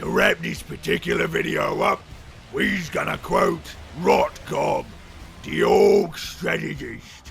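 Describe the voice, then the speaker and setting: Over clear background noise, a man puts on a raspy character voice at a fairly slow pace. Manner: shouted.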